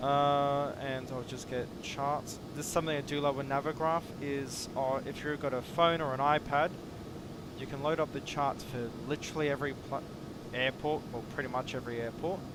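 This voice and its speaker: Against noticeable background noise, a man with a fairly high pitch speaks at a moderate pace in a monotone, flat way. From India. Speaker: flight sim streamer. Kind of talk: live stream gameplay commentary. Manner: casual, chatty.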